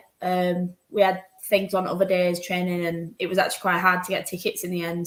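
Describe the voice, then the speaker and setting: Woman with a Yorkshire accent. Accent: Yorkshire, noticeable. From Yorkshire, northern England. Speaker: professional footballer. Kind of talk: interview.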